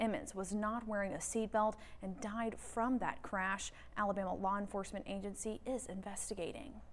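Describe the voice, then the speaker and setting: At a moderate pace, a woman with a fairly high pitch talks in a normal speaking voice with fairly even intonation. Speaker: TV news anchor. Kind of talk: TV newscast read.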